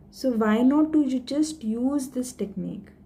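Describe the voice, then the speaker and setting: A woman's somewhat breathy voice, dark and mellow in tone, with ordinary pitch variation at a very slow pace. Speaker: stammering awareness vlogger. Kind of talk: tutorial. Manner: code-switching Hindi and English.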